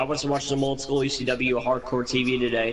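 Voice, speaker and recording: A man speaks in an animated tone. There is noticeable background noise. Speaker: gamer streaming wrestling game with friends. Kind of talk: casual chat. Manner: loud.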